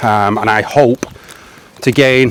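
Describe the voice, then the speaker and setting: A man with an English accent speaks at a medium pitch with fairly even intonation. Noticeable background noise runs behind him. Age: 40s. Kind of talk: casual talk to camera. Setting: outdoors.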